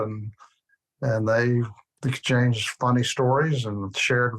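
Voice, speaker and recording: A man in a Southern US accent, moderate pace, monotone and flat in intonation. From US South, Birmingham, Alabama. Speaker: former ambassador. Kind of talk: interview.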